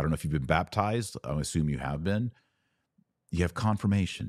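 A man talks at a fairly quick pace with lively intonation and vocal fry. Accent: American. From Texas. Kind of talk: live-streamed commentary with viewer questions. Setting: webcam livestream.

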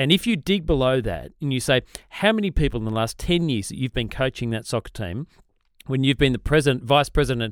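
Lively intonation and an Australian accent come through in a dry, close sound with no echo. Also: man. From Australia, south of Sydney. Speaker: podcast co-host, ministry leader. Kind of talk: casual chat.

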